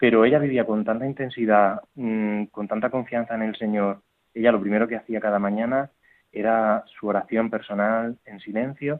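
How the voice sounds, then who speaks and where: This man's voice sits at a medium pitch. He delivers his words in a flat, monotone way. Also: moderate pace. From Murcia, Spain. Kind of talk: interview testimony. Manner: halting, with fillers and repetitions.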